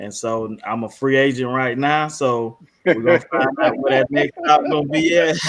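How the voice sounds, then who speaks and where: This man has a fairly high pitch. He speaks with a Southern US accent. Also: ordinary pitch variation, moderate pace. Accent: Southern US (South Georgia). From South Georgia, US South. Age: 40s. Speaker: high school football coach and army veteran. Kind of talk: casual podcast chat. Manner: halting, many fillers.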